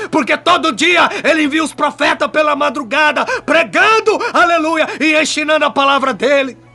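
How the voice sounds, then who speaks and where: With music in the background, a man in an extremely high, raised, projected voice speaks at a moderate pace with ordinary pitch variation. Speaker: pastor. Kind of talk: sermon. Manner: emphatic, fiery preaching.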